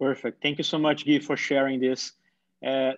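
A man's voice in a Portuguese accent. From Brazil, São Paulo state countryside. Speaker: nonprofit founder and panel moderator. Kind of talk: moderated online panel discussion. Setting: video call.

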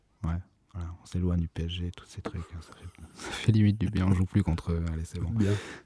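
A man's very deep, low voice, dark and mellow, somewhat breathy and relaxed in tone, monotone and flat in intonation, at a moderate pace, in a very clean recording with a silent background. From Bordeaux, France. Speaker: rapper and sound engineering student. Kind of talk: casual interview chat. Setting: recording studio. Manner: relaxed, casual.

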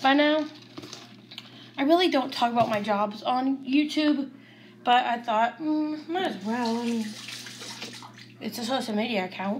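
At a fairly slow pace with long, frequent pauses, a woman speaks in a high voice with ordinary pitch variation over light background noise. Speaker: home cooking vlogger. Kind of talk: casual vlog chat. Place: kitchen. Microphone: phone near.

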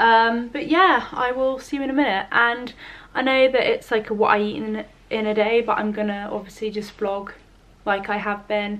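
The voice belongs to a woman. She moves at a moderate pace, with ordinary pitch variation. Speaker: vlogger. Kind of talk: casual vlog chat.

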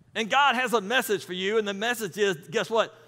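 The delivery moves at a moderate pace with lively intonation. Its tone is bright and sharp. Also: man.

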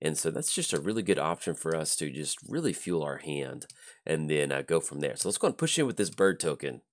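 His pitch sits very deep and low, roughened by vocal fry. This man's intonation shifts in a typical way. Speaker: gaming YouTuber. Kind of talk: gameplay commentary.

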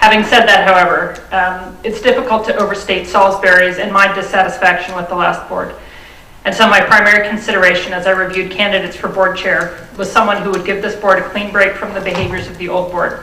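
With audible room echo, a woman speaks very fast in a monotone, flat delivery. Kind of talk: prepared statement at public meeting. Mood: serious, firm. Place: meeting room. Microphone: podium.

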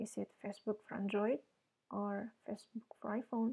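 In a dry, close recording with no echo, a woman speaks fairly slowly at a fairly high pitch, her dark, mellow tone somewhat breathy and her intonation fairly even. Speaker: blogger. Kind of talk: screen-recording tutorial.

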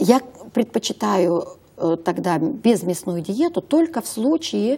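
A woman's medium-pitched voice, dark and mellow in tone and somewhat breathy, moves through very wide pitch swings. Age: 50s. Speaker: health consultant; talk show guest. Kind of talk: talk show interview. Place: studio. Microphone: lapel.

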